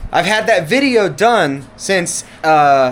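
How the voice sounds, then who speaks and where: Loud and animated, a man talks in a high voice with lively intonation. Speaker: RC car YouTuber. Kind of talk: casual vlog talk to camera. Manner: animated, rambling with restarts.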